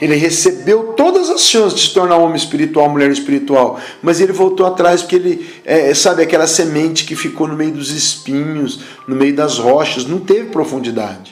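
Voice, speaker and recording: A man speaks at a moderate pace with a fairly high pitch and ordinary pitch variation, with noticeable background noise and audible room echo. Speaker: apostle / preacher. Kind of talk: sermon.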